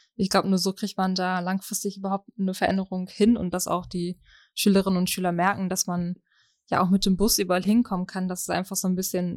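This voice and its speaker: On a very clean, dry and close recording with a silent background and no echo, a woman speaks at medium pitch and a fairly quick pace, her intonation monotone and flat. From Germany, East Westphalia. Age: 20s. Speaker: party member. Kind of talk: interview.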